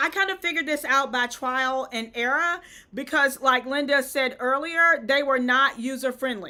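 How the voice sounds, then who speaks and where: A woman with a Southern US accent projects a raised, high-pitched voice with a bright, sharp tone and ordinary pitch variation. She speaks at a fairly slow pace on a very clean recording with a silent background. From US South. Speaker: event decor influencer. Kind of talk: live-stream tutorial. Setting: live stream. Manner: conversational, chatty.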